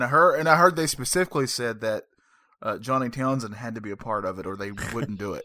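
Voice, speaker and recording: A man talks very fast at a medium pitch, his tone bright, sharp and animated. His intonation is lively, his loudness swings widely, and the recording is very clean with a silent background. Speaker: wrestling podcast host. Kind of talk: casual chat. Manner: joking, animated.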